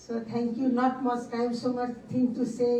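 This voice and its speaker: With a non-native accent, a woman talks at a moderate pace in a high voice with monotone, flat intonation. Audible room echo and noticeable background noise fill the recording. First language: not English. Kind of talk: panel talk. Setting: conference side event. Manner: halting.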